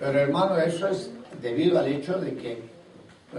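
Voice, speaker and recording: Over noticeable background noise and audible room echo, a man speaks at a moderate pace in a fairly high voice with ordinary pitch variation. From Latin America (Costa Rica, Colombia, Guatemala). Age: 70s. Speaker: apostle, preacher. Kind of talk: sermon.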